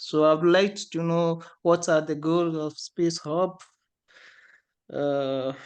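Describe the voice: Slowly and with fairly even intonation, a man speaks at a fairly high pitch in a clear, smooth, slightly mellow tone touched by vocal fry.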